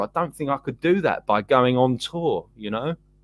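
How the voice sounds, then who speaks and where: Fairly quick speech from a man, the sound dry and close with no echo. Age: 50s. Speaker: musician. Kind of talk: casual chat.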